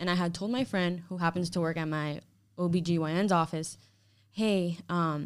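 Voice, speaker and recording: With an American accent, a woman has an ordinary speaking voice, fairly low in pitch with fairly even intonation, on a very clean recording with a silent background. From Hialeah, Florida (Cuban-born). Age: 20s. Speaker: podcast guest, expectant mother. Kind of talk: casual chat.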